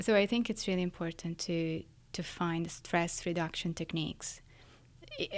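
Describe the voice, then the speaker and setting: Here a woman talks at a moderate pace. Her pitch is fairly low. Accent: Italian. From Italy, Florence. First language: Italian. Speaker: neuroscientist. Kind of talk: interview.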